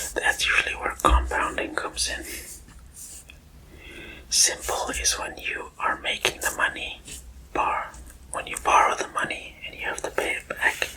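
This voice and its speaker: A man whispers at a fairly slow pace in a relaxed tone. Noticeable background noise sits behind him. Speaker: ASMR creator. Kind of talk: ASMR math lesson. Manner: whispered; soft-spoken, relaxed.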